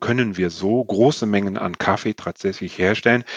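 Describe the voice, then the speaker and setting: In a dry, close recording without echo, a man with an unremarkable speaking voice talks at a moderate pace in a fairly low pitch with ordinary pitch variation. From Sweden. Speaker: nonprofit sustainability expert. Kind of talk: interview. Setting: video call.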